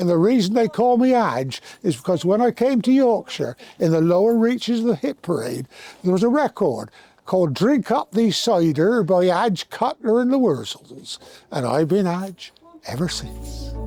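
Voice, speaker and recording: With a Somerset accent, a man talks at a moderate pace in a high voice that makes very wide pitch swings. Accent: Somerset, slightly warbling. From Somerset, southwest England. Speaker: former teacher and rugby club stalwart. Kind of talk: interview reminiscence.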